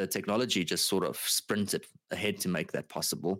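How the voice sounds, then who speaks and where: Spoken at a moderate pace, the voice sounds dry and close with no echo, on a very clean recording with a silent background. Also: man. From South Africa. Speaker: podcast co-host, real estate agent. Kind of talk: casual chat. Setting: studio. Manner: talkative.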